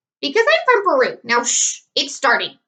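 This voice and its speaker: A woman's put-on character voice, extremely high, with very wide pitch swings and a moderate pace. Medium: read story. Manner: bossy, curt.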